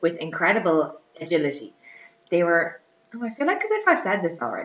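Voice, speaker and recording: Against noticeable background noise, a woman with an Irish accent and a fairly low pitch speaks at a fairly quick pace. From Ireland. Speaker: podcast host. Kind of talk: casual chat.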